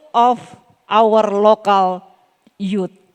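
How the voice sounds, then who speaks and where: In an Indonesian accent, a woman speaks at a very slow pace. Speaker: local government official. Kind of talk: closing remarks speech. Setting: summit closing ceremony. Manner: halting; formal.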